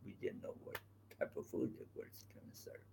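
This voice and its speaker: The voice belongs to a man. He keeps a moderate pace. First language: not English. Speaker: travel vlogger. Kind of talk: casual chat. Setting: live stream on location.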